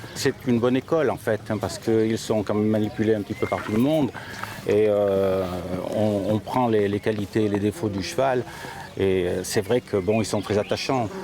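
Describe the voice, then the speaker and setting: The man talks at a moderate pace with fairly even intonation. There is noticeable background noise. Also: fairly low pitch for a man. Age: 60s. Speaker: amateur rider. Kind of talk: interview. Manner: hesitant, many fillers.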